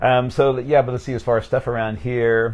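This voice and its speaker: Here a man speaks with an American accent. His pitch sits in the medium range. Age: 50s. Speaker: pastor. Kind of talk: casual interview. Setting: livestream. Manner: fast.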